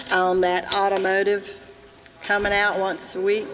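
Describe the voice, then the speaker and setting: In an American accent, a woman with a medium pitch talks in monotone, flat intonation against noticeable background noise. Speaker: resident. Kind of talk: public comment. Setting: public meeting with audience. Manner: loud.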